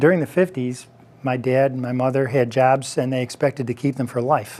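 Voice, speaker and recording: A man with an ordinary speaking voice talks at a fairly quick pace. His intonation stays fairly even. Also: medium pitch for a man. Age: 60s. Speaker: talk show host. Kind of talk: interview on a discussion show.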